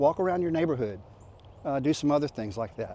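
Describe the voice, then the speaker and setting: The voice has a dark, mellow tone with a Louisiana accent. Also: man. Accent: Southern US (Louisiana). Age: 60s. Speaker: fitness vlogger. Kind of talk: casual vlog talk. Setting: outdoors. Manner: halting, many fillers.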